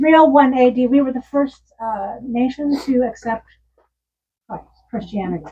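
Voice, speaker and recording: A woman with an American accent speaks at a moderate pace in a high voice with a dark, mellow tone. Her loudness swings widely, her pitch varies ordinarily, and she leaves long, frequent pauses. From Pasadena, California. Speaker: author and psychologist. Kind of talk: Q&A at book event. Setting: bookstore with audience.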